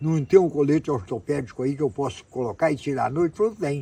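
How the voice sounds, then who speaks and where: Fairly high male voice, dark and mellow in tone, with lively intonation at a fairly quick pace. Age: 90s. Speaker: health testimony speaker. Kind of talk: personal testimony. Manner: halting, self-correcting.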